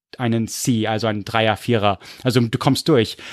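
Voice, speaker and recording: At a moderate pace, a man speaks in a dry, close sound with no echo, the recording very clean and the background silent. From US/Munich, Germany (moved between both). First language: English (speaking German). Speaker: history podcaster. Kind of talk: casual chat.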